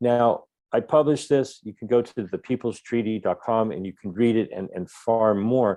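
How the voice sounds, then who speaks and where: Against a quiet background, a man speaks at a moderate pace and medium pitch in a dark, mellow tone, his intonation fairly even but his loudness swinging widely. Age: 60s. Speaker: activist speaker. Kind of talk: webinar talk. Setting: online webinar. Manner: halting, with frequent word repetitions.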